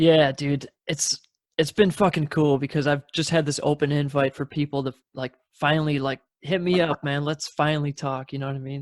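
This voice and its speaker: A plain, everyday voice speaks at a moderate pace with an American accent. The intonation is fairly even, and the sound is dry and close with no echo. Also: man. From Wisconsin, southern end near Illinois. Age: 30s. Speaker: podcast host. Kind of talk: casual chat.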